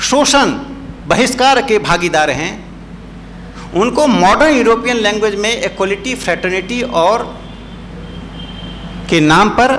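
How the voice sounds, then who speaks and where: A man's high-pitched voice with lively intonation, audible room echo and noticeable background noise. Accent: Bihari. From Bihar, India. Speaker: speaker at a seminar. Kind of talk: lecture.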